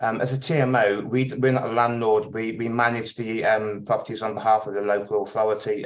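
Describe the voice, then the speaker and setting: A man's medium-pitched voice in a Birmingham accent, fairly quick and fairly even in intonation. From England, Birmingham. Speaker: tenant organisation chair. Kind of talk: webinar talk. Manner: hesitant, many fillers.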